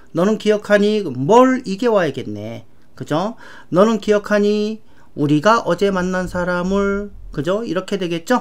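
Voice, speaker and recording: A woman with a medium pitch speaks at a fairly slow pace in an animated tone, with ordinary pitch variation. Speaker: English grammar teacher. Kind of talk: lecture.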